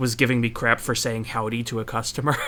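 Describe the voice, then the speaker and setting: This man talks at a fairly quick pace in a medium pitch. His intonation is flat and monotone. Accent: American. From southern Midwest US. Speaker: podcast co-host. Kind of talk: casual chat.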